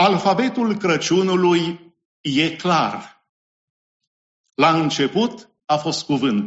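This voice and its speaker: A man speaks very slowly with long, frequent pauses. His high pitch carries lively intonation. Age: 50s. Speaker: pastor. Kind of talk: sermon.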